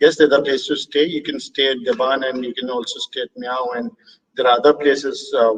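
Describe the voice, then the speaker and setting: A man with an Indian accent at a fairly quick pace. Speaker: birding tour operator and host. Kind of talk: live online talk Q&A.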